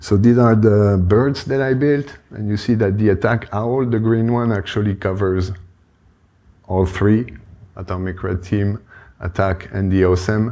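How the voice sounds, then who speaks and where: In a French accent, a man with a fairly low, dark, mellow voice speaks fairly slowly with ordinary pitch variation on a very clean recording with a silent background. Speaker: conference speaker on cybersecurity tooling. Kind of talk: conference talk. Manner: casual, hesitant with fillers.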